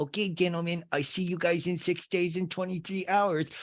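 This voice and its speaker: Putting on a character voice, a man speaks in a high, raspy pitch with monotone, flat intonation at a moderate pace, recorded very cleanly against a silent background. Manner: weird, silly dog-talking voice.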